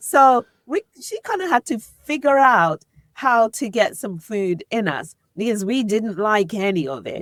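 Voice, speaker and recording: The speaker has an English accent and very wide pitch swings. The sound is dry and close, with no echo. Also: woman, fairly high pitch for a woman, fairly slow pace. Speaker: podcast host, guest here. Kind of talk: interview conversation.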